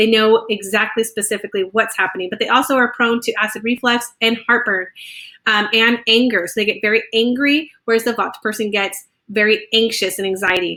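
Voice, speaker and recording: A woman speaks with a fairly high pitch. Her tone is bright and sharp. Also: fairly quick pace. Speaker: wellness coach. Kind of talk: casual talk. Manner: fast; animated.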